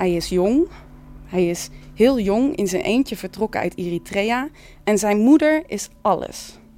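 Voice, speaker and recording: At a fairly slow pace, a woman speaks at a medium pitch with lively intonation. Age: 30s. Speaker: theatre maker and musician. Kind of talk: casual reflective talk. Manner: halting, many fillers.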